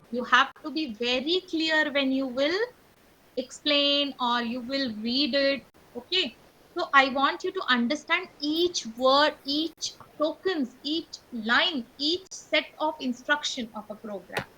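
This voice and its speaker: A woman speaks very slowly in a high, bright, sharp voice that is raised and projected, with ordinary pitch variation. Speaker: teacher. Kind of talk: online class lesson.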